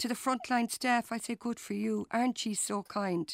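In a Cork accent, a woman speaks at a fairly quick pace with a fairly high pitch. The recording is very clean and silent behind her, with a dry, close sound and no echo. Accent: Cork Irish. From Ireland, West Cork. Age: 50s. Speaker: public health nurse. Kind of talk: casual interview.

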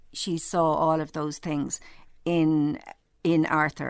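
In an Irish accent, a woman speaks with a very deep, low pitch. Her intonation stays fairly even. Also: very clean recording, silent background. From Ireland. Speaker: novelist. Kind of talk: interview.

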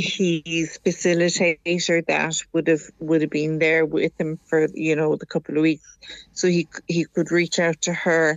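In an Irish accent, a woman speaks at a fairly slow pace with monotone, flat intonation. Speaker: caller, mother of addicted son. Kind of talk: radio phone-in call. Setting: phone call over WhatsApp.

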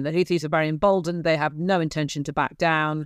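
Over a silent background in a very clean recording, a woman with an English accent speaks in a very deep, low voice and flat, monotone intonation. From England, Gloucestershire. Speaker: investigative journalist. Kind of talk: interview.

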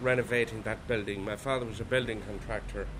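With an Irish accent, a man talks at a medium pitch and with fairly even intonation. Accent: Irish (Clare). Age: 60s. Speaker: traditional musician. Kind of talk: reflective interview narration.

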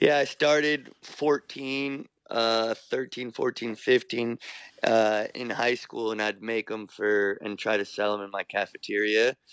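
Speaking very slowly, a man with an American accent uses medium pitch and fairly even intonation. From New York, US (Irish parents). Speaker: fashion designer. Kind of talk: radio interview. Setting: remote line from New York.

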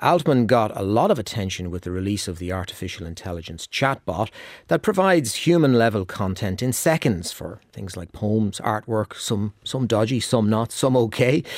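In an Irish accent, a man speaks at a fairly low pitch and a moderate pace, with lively intonation and hardly any pauses. His loudness swings widely, and the recording is very clean with a silent background. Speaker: radio business show presenter. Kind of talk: radio interview. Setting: radio studio.

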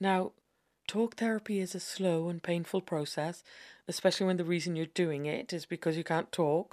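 Over a silent background in a very clean recording, a woman speaks at a moderate pace in a fairly low pitch with fairly even intonation, the sound dry and close with no echo. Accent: Irish. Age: middle-aged. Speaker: essayist. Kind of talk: scripted narration.

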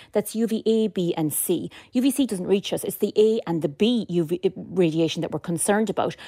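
A woman with a northwest Irish accent, medium pitch, dark, mellow tone, hardly any pauses, dry, close sound with no echo. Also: ordinary pitch variation, fairly quick pace, very clean recording, silent background. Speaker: dermatology nurse specialist. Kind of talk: radio interview.

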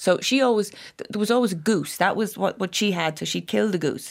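A woman with a Dublin accent at a moderate pace, on a very clean recording with a silent background. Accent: Dublin Irish. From Ireland, Dublin. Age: 50s. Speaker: author. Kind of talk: casual chat. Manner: animated.

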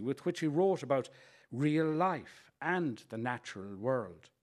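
In an Irish Midlands accent, a man with a fairly high voice talks at a moderate pace with lively intonation, captured on a very clean recording against a silent background. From Ireland, County Leitrim area. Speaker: writer reading an essay. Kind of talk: reading aloud.

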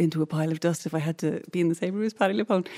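A woman with an Irish accent, her fairly low voice dark and mellow, her intonation fairly even. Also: very clean recording, silent background. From Ireland. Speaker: voice actor and singer. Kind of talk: casual chat. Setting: studio with audience.

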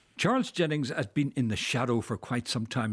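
The speaker has a Dublin accent and moves at a fairly quick pace. The recording is very clean, with a silent background. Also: man. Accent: Irish (Dublin). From Dublin, Ireland. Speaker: historian and author. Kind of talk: radio interview.

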